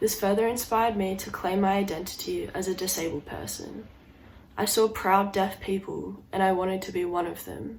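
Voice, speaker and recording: A woman's medium pitch and fairly even intonation come through noticeable background noise. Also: moderate pace. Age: young. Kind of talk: personal story told to camera.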